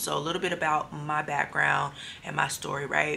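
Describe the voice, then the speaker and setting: Soft-spoken and very deep in pitch, a woman talks at a moderate pace in a monotone, flat delivery with vocal fry and a bright, sharp tone. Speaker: faith vlogger. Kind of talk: testimony video. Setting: hotel room at night. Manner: soft-spoken, low.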